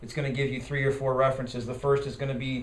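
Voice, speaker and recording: A man's medium-pitched, monotone voice with flat intonation and audible room echo. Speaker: party bylaws committee chair and parliamentarian trainer. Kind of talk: training lecture. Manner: fast.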